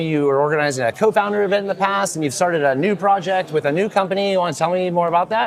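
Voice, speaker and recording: A man talks very fast in a high voice with ordinary pitch variation, and noticeable background noise can be heard. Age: 40s. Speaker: event interviewer. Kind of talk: casual interview. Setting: event lounge at a conference.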